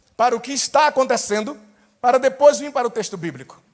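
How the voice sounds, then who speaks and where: At an extremely high pitch, a man speaks fairly quickly in an animated tone with ordinary pitch variation. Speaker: pastor and Bible teacher. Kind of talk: Bible study lecture. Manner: animated, preaching style.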